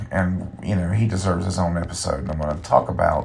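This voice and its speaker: A man talks fairly quickly with ordinary pitch variation as noticeable background noise carries on behind him. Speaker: podcast host and musician. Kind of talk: casual solo podcast monologue. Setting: recording in a bathtub, early morning. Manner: relaxed, many fillers.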